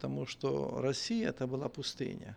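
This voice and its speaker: A man talks at a fairly slow pace and medium pitch. His is an unremarkable speaking voice. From western Ukraine. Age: 50s. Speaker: bishop and pastor. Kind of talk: casual interview chat.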